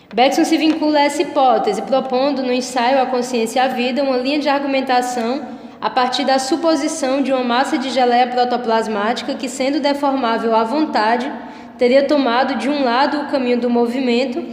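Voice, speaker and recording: Amid noticeable background noise and audible room echo, a woman speaks at a fairly quick pace with a high pitch and fairly even intonation. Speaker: philosophy teacher. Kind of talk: lecture.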